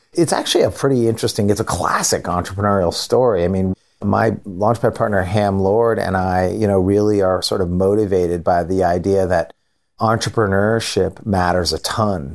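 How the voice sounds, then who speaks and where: A man talks at a moderate pace with fairly low pitch and fairly even intonation, in a normal speaking voice. The recording is very clean, with a silent background. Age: 50s. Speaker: angel investor. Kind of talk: interview.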